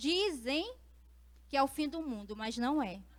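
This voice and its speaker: A woman's high-pitched voice at a moderate pace. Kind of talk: panel talk.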